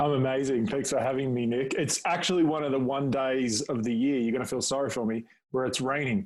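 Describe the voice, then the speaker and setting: A man speaks at a medium pitch with an Australian accent and a fairly quick pace. His intonation stays fairly even against a quiet background. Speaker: public speaking coach. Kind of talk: podcast interview.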